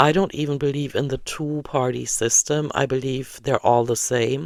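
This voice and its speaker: A fairly slow German accent on a very clean recording with a silent background. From Germany. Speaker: vlogger. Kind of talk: casual monologue vlog. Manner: hesitant, many fillers.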